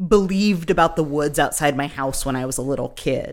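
In a very clean recording with a silent background, a woman with a plain, everyday voice talks at a moderate pace with lively intonation. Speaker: podcast host. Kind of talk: casual chat.

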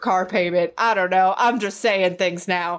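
A woman is speaking at a medium pitch. Her pitch varies in an ordinary way. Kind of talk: pitchman parody, mock infomercial sales pitch. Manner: animated, wheedling used-car-salesman patter, cheesy and over-the-top.

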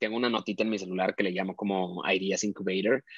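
A man speaking very fast in a flat monotone, with a dry, close sound and no echo. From Mexico, Monterrey. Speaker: fashion photographer. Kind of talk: interview. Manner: hesitant, many fillers.

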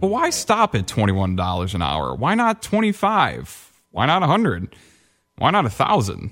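At a very slow pace, a man of medium pitch speaks with vocal fry and very wide pitch swings. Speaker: field correspondent. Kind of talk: news commentary.

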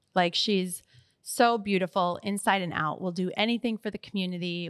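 An unremarkable speaking voice with an American accent, moderate in pace and fairly even in intonation, with a dry, close sound with no echo on a very clean recording with a silent background. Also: woman. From US Midwest. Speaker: podcast co-host. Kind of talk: casual chat.

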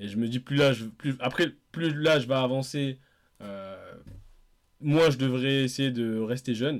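A man's voice sits at a medium pitch. It varies in pitch in an ordinary way. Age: 30s. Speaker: podcast co-host. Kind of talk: casual chat. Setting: remote call from home.

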